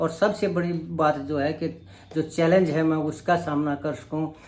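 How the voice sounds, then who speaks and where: This man's voice sits fairly high in pitch. His intonation is monotone and flat. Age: 60s. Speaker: vlogger. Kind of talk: vlog monologue. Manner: halting.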